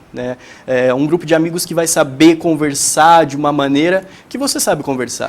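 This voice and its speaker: Set against noticeable background noise, a man speaks with a fairly high pitch. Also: ordinary pitch variation, moderate pace. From Brazil, São Paulo state. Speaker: young entrepreneur. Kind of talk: tv interview. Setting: tv studio. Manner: hesitant, many fillers.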